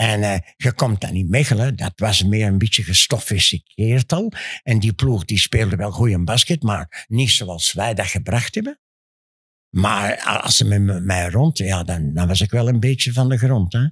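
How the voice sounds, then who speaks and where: In an Antwerp accent, a man speaks fairly slowly at a fairly low pitch, somewhat breathy and with ordinary pitch variation, in a dry sound with no echo over a quiet background. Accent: Antwerp Flemish. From Antwerp, Belgium; Belgium. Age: 80s+. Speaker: former professional basketball player; guest. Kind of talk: interview answer. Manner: boastful, lively. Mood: confident, bragging storytelling. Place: studio. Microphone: studio mic.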